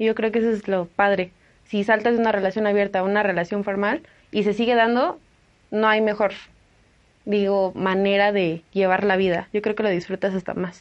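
A woman speaks at a moderate pace and medium pitch in a monotone, flat intonation. Her loudness stays very even. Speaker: podcast co-host. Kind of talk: casual chat.

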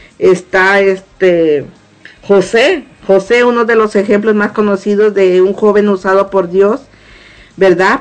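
The intonation is fairly even. A woman speaks at a very slow pace. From Mexico, Morelos. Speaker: church prayer group member. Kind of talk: testimony.

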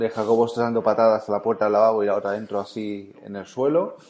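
A man's very fast, monotone delivery with flat intonation and hardly any pauses. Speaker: podcast host. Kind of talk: casual chat.

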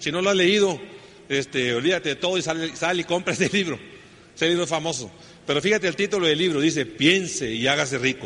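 Very fast and very even in loudness, a man talks at a fairly high pitch with ordinary pitch variation. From northern Mexico, Sonora. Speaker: network marketing speaker. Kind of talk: motivational talk.

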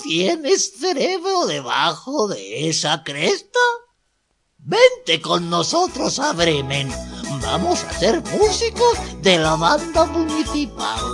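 A put-on character voice, fairly high in pitch and very slow, over faint music in the background. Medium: read story. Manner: indignant, then hearty and encouraging.

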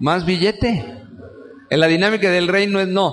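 Speaking in a Mexican accent with an animated tone, a man talks at a high pitch over noticeable background noise. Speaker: preacher. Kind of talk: sermon. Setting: church. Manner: animated, conversational, colloquial; direct, exhorting the congregation.

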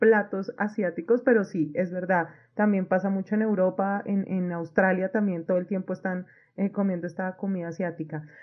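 A woman uses a normal speaking voice at a medium pitch. Her intonation is fairly even and her pace fairly quick. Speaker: study abroad consultant hosting podcast. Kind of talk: interview.

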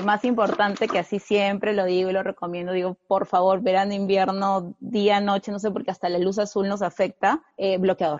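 Here a woman talks at a moderate pace and a medium pitch. It is a plain, everyday voice. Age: 20s. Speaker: fashion content creator. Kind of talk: casual interview. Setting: video podcast.

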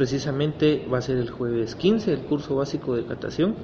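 Lively in intonation and medium in pitch, a man speaks with audible room echo and noticeable background noise. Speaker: coffee cupping lab coordinator. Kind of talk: interview. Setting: cupping laboratory.

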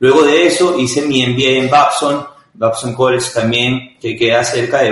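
With a Venezuelan accent, a man talks at a fairly slow pace and medium pitch in a room with audible echo. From Venezuela, Caracas. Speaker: startup founder and CEO. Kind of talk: interview.

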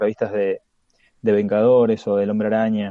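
A man with a Rioplatense accent speaks in a dark, mellow tone with fairly even intonation. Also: dry, close sound with no echo. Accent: Argentine Rioplatense Spanish. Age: 40s. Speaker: comics podcaster. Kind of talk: casual interview chat.

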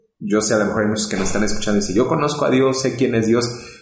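Speaking at a very fast pace with fairly even intonation, a man is heard with audible room echo. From Mexico, State of Mexico. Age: 30s. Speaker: pastor. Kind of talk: testimony.

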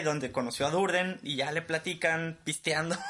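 There is noticeable background noise as a man speaks at a moderate pace and a fairly high pitch. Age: 20s. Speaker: podcast co-host, engineering graduate. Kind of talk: casual chat. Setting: home studio in a bedroom. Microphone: cheap equipment.

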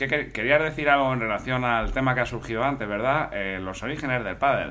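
A man speaks at a fairly quick pace in a medium pitch, his bright, sharp tone carrying ordinary pitch variation amid audible room echo. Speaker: comedy podcast co-host. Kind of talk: comedy sketch, parody radio call-in show.

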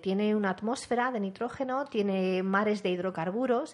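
A woman with an unremarkable speaking voice, at a moderate pace and with ordinary pitch variation. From Spain, La Rioja (Calahorra). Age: 40s. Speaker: science communicator. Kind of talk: interview.

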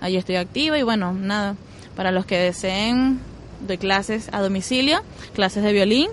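The speaker has a plain, everyday voice. The intonation is lively. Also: woman. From Venezuela, Zulia and Guarenas. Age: 20s. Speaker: violinist. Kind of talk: interview. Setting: outdoors.

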